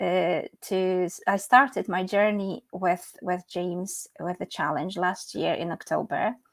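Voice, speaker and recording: A woman speaks with a Polish accent. The sound is dry and close with no echo, on a very clean recording with a silent background. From Poland. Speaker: English teacher and medical interpreter. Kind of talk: interview.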